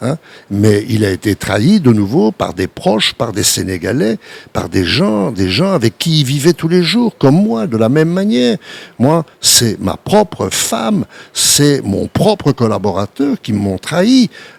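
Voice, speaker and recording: The voice moves at a fairly slow pace with very wide pitch swings. The sound is dry and close with no echo, though noticeable background noise is present. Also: man, medium pitch for a man. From Belgium. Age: 80s+. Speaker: entrepreneur and investor. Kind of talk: interview.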